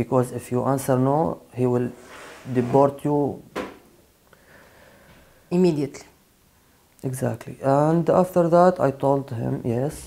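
At a fairly slow pace, a man speaks with ordinary pitch variation and long, frequent pauses. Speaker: interviewee. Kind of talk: interview answer. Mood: earnest, recounting mistreatment. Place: studio.

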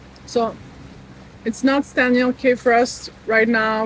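A woman speaks at a high pitch. The sound is dry with no echo, over light background noise. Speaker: sailing vlogger. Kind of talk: casual vlog chat. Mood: delighted, amazed. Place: boat. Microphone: phone near.

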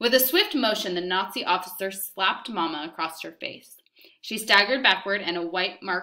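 Quiet surroundings behind a natural reading voice

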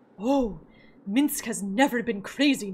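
The speaker uses a put-on character voice. The delivery comes at a fairly slow pace. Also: female-sounding voice, fairly high pitch for a woman. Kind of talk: reading game dialogue aloud.

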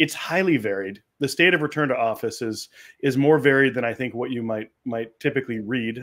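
Against a quiet background, the speaker moves at a fairly quick pace with ordinary pitch variation. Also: man. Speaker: remote guest. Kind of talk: interview answer. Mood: friendly, engaged. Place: home room.

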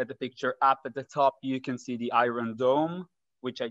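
Against a quiet background, a man talks at a moderate pace in a dry sound with no echo. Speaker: presenter. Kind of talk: presentation talk. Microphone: webcam.

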